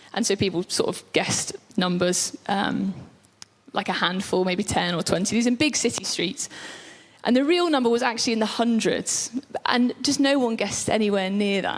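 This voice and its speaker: At a moderate pace, a woman with a fairly high pitch sounds animated, with lively intonation and very even loudness over noticeable background noise. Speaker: preacher. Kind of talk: sermon.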